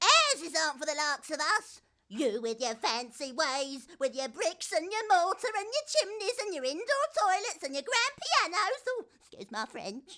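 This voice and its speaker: A woman puts on a character voice pitched extremely high, with very wide pitch swings. She keeps a moderate pace with hardly any pauses. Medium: audio drama. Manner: crude, over-deferential.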